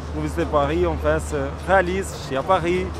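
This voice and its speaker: Man's voice with very wide pitch swings, audible room echo and noticeable background noise. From Kosovo. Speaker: university student of French. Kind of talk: interview.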